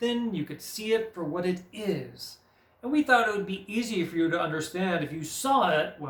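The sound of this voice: What you hear is an unforced reading voice.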